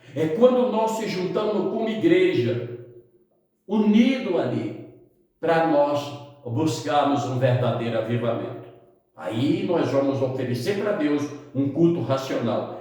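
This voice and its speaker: Through audible room echo, a man with a fairly high pitch speaks at a fairly slow pace, his pitch swinging very widely. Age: 60s. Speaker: pastor. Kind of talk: sermon. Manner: halting.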